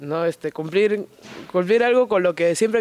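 Noticeable background noise sits behind the speaker. A man talks at a fairly quick pace. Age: 20s. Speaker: professional wrestler. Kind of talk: casual interview.

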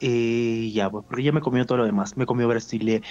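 The voice, in a Peruvian accent, has monotone, flat intonation. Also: man. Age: 20s. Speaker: adult content creator. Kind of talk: interview.

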